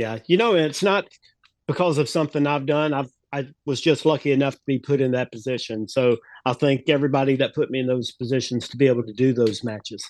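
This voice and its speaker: A man with an American accent talks at a very fast pace with ordinary pitch variation in a dry, close sound with no echo. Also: medium pitch for a man. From US South, North Carolina. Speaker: wrestling referee. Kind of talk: interview.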